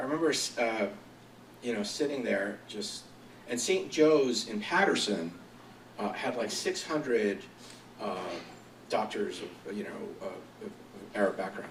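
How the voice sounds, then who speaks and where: A man at medium pitch with very wide pitch swings, a moderate pace, and long, frequent pauses, plus noticeable background noise and audible room echo. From Syria (Aleppo), moved to US as child. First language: Arabic. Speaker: marketing agency founder, entrepreneur. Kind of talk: interview talk before audience. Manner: animated, casual with many fillers.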